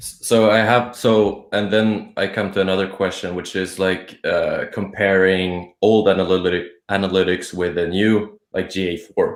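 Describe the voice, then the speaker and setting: With a Swedish accent, a man speaks at a moderate pace in a fairly low pitch, his intonation monotone and flat, with hardly any pauses. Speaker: blogger. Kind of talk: casual chat.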